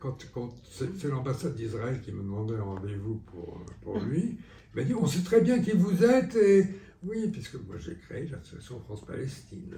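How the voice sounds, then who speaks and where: Speaking fairly slowly with long, frequent pauses, a man with a fairly high pitch shows very wide pitch swings and big swings in loudness against noticeable background noise. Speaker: rheumatologist, former wartime resistance member. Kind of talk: interview answer.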